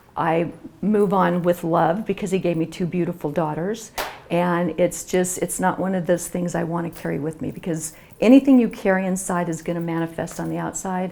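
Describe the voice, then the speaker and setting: Against noticeable background noise, a woman speaks in a fairly low pitch with fairly even intonation. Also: moderate pace. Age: 60s. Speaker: author. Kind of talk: interview.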